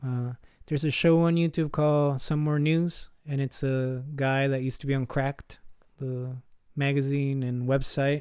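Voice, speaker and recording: A man's fairly high voice with monotone, flat intonation. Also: moderate pace. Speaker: podcast host. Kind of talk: solo podcast commentary reviewing a TV episode. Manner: casual, conversational.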